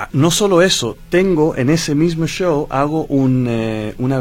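A man is the one talking. The rise and fall of his pitch is ordinary. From Chile, Dutch mother. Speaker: singer. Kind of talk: radio interview.

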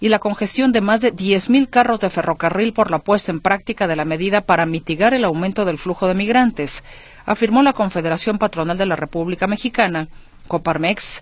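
Speaking at a fairly quick pace, a woman has a medium pitch, ordinary pitch variation and a plain, everyday voice. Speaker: radio business show host. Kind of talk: news reading.

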